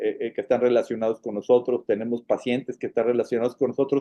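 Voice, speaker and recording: This man has a Monterrey accent and a medium pitch. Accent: northern Mexican (Monterrey). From Monterrey, northern Mexico. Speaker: foundation president, patient advocate. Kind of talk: casual interview conversation. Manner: hesitant, many fillers and repetitions.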